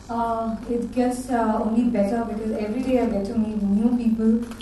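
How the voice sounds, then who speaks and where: Over noticeable background noise and audible room echo, a woman speaks in a fairly high voice. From India (Bangalore). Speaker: life coach. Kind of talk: panel talk.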